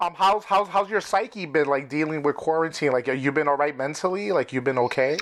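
With hardly any pauses and very even loudness, a man talks at a fairly quick pace with fairly high pitch and ordinary pitch variation over noticeable background noise. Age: 40s. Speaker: podcast host. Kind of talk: casual chat.

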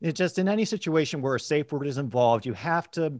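A plain, everyday voice, fairly quick, with an American accent and lively intonation. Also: man. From US, Washington DC area. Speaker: football fan guest. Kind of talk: casual chat.

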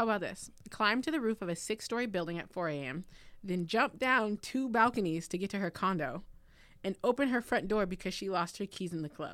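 A woman with a medium pitch speaks at a fairly quick pace in an animated tone with lively intonation, recorded very cleanly against a silent background. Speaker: podcast co-host. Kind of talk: casual chat. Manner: animated, teasing.

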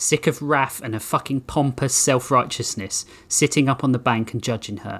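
The reading voice here is unforced.

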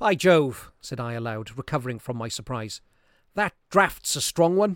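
At a fairly slow pace, a man speaks in a normal speaking voice at medium pitch. The recording is very clean with a silent background and a dry, close sound with no echo. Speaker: narrator reading a classic story aloud. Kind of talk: ghost story telling, dramatic reading aloud of a Victorian horror tale. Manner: suspenseful, building dread as candles go out one by one; voices characters' lines, e.g. rising panic in quoted cries.

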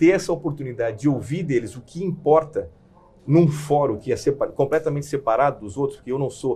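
Here a man with a fairly high pitch speaks at a fairly quick pace. His voice is somewhat breathy, with a dark, mellow tone. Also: ordinary pitch variation. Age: 50s. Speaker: corporate executive. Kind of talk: interview. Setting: studio.

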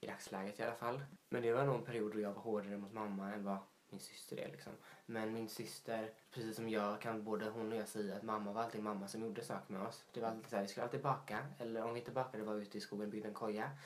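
This man's voice sits at a medium pitch, and his intonation stays fairly even. He speaks very fast over noticeable background noise and audible room echo. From Småland, Sweden (Vetlanda). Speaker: podcast co-host. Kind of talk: casual chat.

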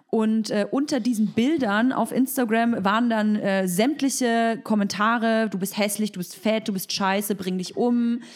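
In a very clean recording with a silent background, a woman speaks at a fairly high pitch with ordinary pitch variation. She has an ordinary speaking voice and a moderate pace. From Berlin, Germany. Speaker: podcast host. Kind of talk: casual interview.

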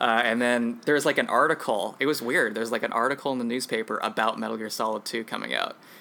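This man talks very fast with vocal fry and fairly even intonation. His medium-pitched voice has a bright, sharp tone. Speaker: podcast host. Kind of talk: casual chat.

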